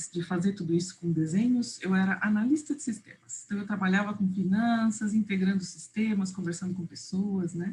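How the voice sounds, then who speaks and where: Somewhat breathy and with hardly any pauses, a woman speaks in a dark, mellow tone with ordinary pitch variation. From Uruguay, raised in Brazil. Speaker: visual facilitation trainer. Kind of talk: online workshop presentation.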